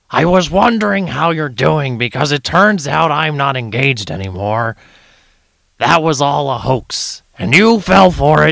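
Put-on character voice from a man, fairly high in pitch. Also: moderate pace. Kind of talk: comedic parody voicemail.

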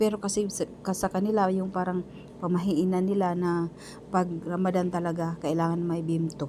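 A woman speaks in a monotone, flat way with very even loudness. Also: fairly low pitch for a woman, moderate pace. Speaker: domestic worker vlogger. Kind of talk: vlog voice-over.

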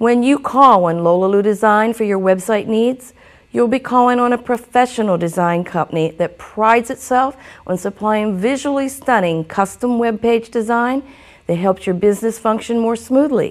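Against a quiet background, a woman speaks in a normal speaking voice at a moderate pace, with a fairly high pitch and ordinary pitch variation. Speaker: web designer. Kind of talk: business promo read.

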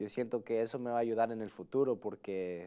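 Over a quiet background, a man speaks at medium pitch with a dark, mellow tone. His pace is fairly quick. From United States, Salvadoran family. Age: 20s. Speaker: real estate agent; interview guest. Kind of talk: interview. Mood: relaxed, friendly. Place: studio. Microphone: lapel.

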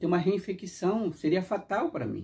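A dark, mellow tone in a high-pitched male voice. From Brazil. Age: 60s. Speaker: YouTuber; vlogger. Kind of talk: casual monologue reflection; casual vlog chat. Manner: halting. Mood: reflective, earnest about health. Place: home room. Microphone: lapel.

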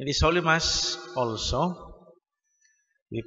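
A man speaks with a Filipino accent against a quiet background. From Philippines. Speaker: Mass announcer reading intentions. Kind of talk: reading prayers and intentions aloud. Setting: church Mass. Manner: formal, measured. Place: church. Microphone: podium.

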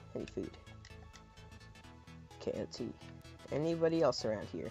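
A man speaks with music playing in the background. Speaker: gaming video creator. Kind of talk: casual gameplay commentary.

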